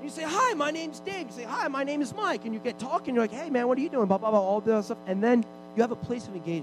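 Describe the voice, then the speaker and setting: Through noticeable background noise, a man with an extremely high pitch talks at a very fast pace with lively intonation. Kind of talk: sermon, preacher in full flow leading a charged prayer.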